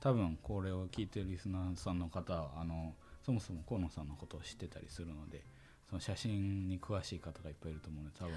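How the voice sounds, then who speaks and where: Very fast, a man talks in a very deep, low voice that is somewhat breathy, with a dark, mellow tone and ordinary pitch variation. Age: 20s. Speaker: university student podcast co-host. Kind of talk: casual chat. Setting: studio.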